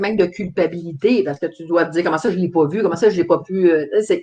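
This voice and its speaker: A woman in a Quebec accent, talking very fast. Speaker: talk show host. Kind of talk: interview.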